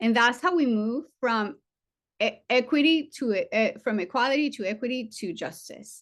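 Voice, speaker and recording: Against a quiet background, a woman with a non-native accent speaks in a fairly high voice with ordinary pitch variation. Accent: foreign. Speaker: trauma surgeon. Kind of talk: seminar talk. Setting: virtual seminar.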